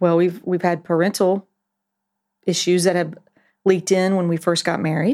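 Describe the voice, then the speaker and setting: A woman speaks at a moderate pace in a fairly low, dark and mellow voice. Her intonation stays flat and monotone, broken by long, frequent pauses. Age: 50s. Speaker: pastor. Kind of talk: casual chat.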